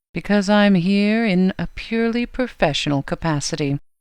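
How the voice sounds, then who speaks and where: Using a put-on character voice, a woman speaks at a moderate pace and medium pitch with lively intonation, in a very clean recording with a silent background. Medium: read story. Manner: calm, terse, quietly menacing.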